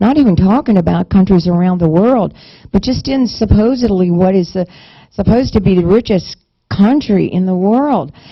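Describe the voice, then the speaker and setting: A woman speaks at medium pitch and a moderate pace with lively intonation. Her voice is somewhat breathy. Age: 50s. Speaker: minister promoting a fundraising payment card. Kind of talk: sales pitch. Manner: talkative, run-on sentences with false starts.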